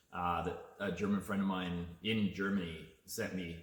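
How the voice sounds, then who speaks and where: A man talks, and audible room echo surrounds his speech. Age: 50s. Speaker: artist and video chat host. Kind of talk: casual chat. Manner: relaxed, with frequent hesitations.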